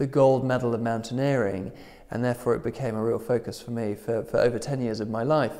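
Against silence, a male voice talks. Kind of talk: interview answer. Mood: enthusiastic, smiling. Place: hall.

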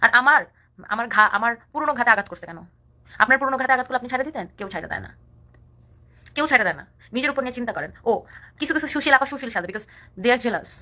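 Bright and sharp, a woman's high voice has an animated tone, big swings in loudness and ordinary pitch variation. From rural Bangladesh. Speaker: social media personality. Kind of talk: live stream rant.

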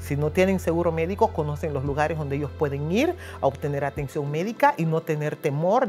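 A woman with a Honduran accent speaks at a fairly quick pace while clear music plays in the background. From Honduras. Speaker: church and community liaison for immigrants. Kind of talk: interview answer. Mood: earnest, grateful. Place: office. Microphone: lapel.

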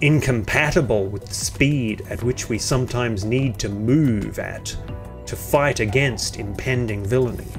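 With music in the background, a man speaks at a fairly slow pace using ordinary pitch variation. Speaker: video essay narrator. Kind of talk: satirical commentary narration.

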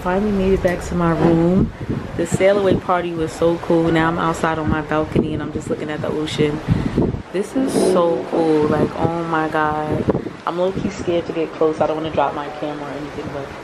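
A woman's fairly quick speech competes with loud noise in the background. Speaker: solo travel vlogger. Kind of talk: casual vlog chat. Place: boat. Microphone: phone near.

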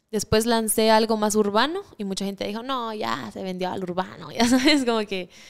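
A woman with a fairly high pitch speaks at a moderate pace with ordinary pitch variation, big swings in loudness and hardly any pauses, over a quiet background. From Guatemala. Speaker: singer-songwriter; guest. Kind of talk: interview. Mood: relaxed, friendly. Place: studio. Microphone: studio mic.

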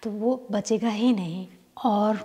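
Her voice somewhat breathy, a woman speaks with a dark, mellow tone. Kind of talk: cooking tutorial. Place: kitchen.

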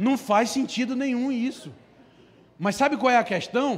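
This man talks with a high pitch. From Brazil, Amazonas. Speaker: preacher. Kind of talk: sermon. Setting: church service with congregation. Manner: animated. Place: church. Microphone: handheld.

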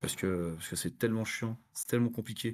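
This is a man speaking. His pitch is fairly low. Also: quiet background. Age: 30s. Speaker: forensic analyst and pentester; forensic analyst. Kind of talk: technical talk with live demo. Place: home room. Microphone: webcam.

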